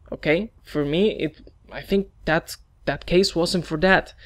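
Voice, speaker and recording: Fairly slow speech in a very clean recording with a silent background. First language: Spanish. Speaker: gaming YouTuber. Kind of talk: opinion video monologue. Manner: halting.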